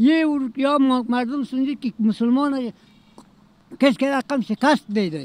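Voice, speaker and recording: A man speaks at an extremely high pitch, with a dry sound and no echo. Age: 80s. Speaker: senior citizen interviewee. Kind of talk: street interview answer. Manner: impassioned, broken grammar. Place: street. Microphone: handheld.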